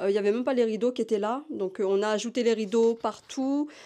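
A woman's voice has a dark, mellow tone and ordinary pitch variation. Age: 30s. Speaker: short-term rental subletting entrepreneur, mother of two; short-term rental host. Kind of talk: casual interview and apartment tour. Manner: hesitant, many fillers.

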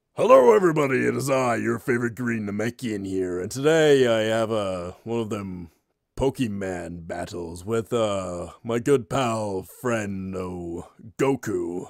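A man uses a put-on character voice at a medium pitch. He goes at a fairly slow pace on a very clean recording with a silent background. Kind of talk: fan parody gaming commentary. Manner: casual, crude, jokey.

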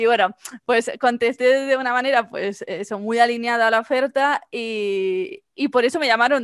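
Recorded dry with no echo against a quiet background, a woman talks at a fairly high pitch with ordinary pitch variation. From Spain, Mallorca; Spain. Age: 20s. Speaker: marketing agency founder; podcast guest. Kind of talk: interview. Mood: cheerful, laughing storytelling. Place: home room. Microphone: headset.

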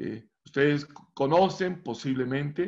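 Against a quiet background, a man talks with ordinary pitch variation. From Colombia. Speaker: professor; guest lecturer presenting his research. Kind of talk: lecture. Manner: halting. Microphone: video call.

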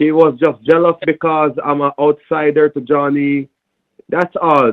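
A man with a Jamaican accent speaks at a moderate pace in a monotone, flat intonation. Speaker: phone scammer. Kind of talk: heated phone argument. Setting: phone call. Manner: aggressive.

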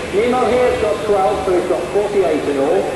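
Over loud background noise and audible room echo, the speech comes at a fairly slow pace with ordinary pitch variation. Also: man. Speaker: animal trainer presenting a show. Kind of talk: educational show commentary.

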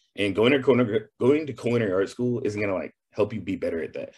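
In a somewhat breathy, medium-pitched voice with an American accent, a man speaks very fast. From Texas. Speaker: chef. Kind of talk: interview.

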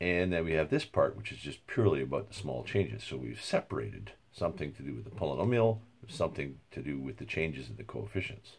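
A man's very deep, low voice with vocal fry at a very fast pace. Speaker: university lecturer. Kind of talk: lecture. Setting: home recording. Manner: halting, with filler words.

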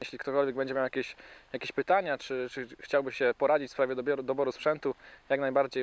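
Dry with no echo, a man's medium-pitched voice races along very fast with fairly even intonation. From Wielkopolska, Poland. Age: 20s. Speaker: angler and shop manager. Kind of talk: short interview-style self-introduction. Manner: halting, with repeated words and fillers. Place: waterside.

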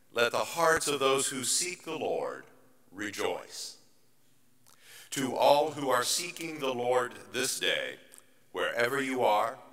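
Speaking at a very slow pace with long, frequent pauses, a man shows ordinary pitch variation. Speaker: pastor leading worship. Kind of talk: liturgical welcome and prayer. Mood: warm, calm, reverent. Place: church. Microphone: podium.

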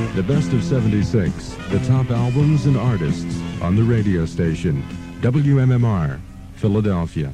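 Over clear music in the background, a man speaks at a moderate pace with very wide pitch swings and very even loudness. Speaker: radio DJ. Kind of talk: rock radio DJ patter. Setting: radio broadcast. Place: studio. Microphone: old recording.

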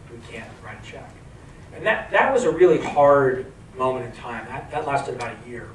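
At a moderate pace, a man talks in a medium pitch over noticeable background noise. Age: 40s. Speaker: venture capital investor and entrepreneur. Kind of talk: onstage interview. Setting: stage with audience.

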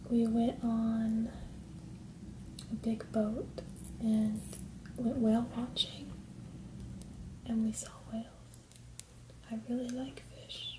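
Soft-spoken and at a very slow pace, the speaker leaves long, frequent pauses over noticeable background noise. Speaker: vlogger. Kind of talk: casual vlog chat. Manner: soft-spoken, quiet ASMR voice. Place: home room. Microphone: camera far.

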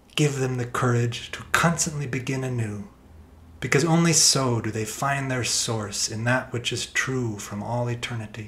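Amid noticeable background noise, a man with a solemn tone speaks at a moderate pace in a medium pitch, keeping fairly even intonation. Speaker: reader of prayer. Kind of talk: reading aloud a written prayer, solemn devotional intercession. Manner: solemn, pleading.

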